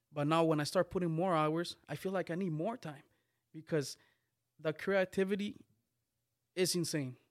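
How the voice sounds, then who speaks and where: In a very clean recording with a silent background, a man speaks at a high pitch with ordinary pitch variation. His pace is moderate, broken by long, frequent pauses. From Guatemala. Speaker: music video creator. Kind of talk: casual chat.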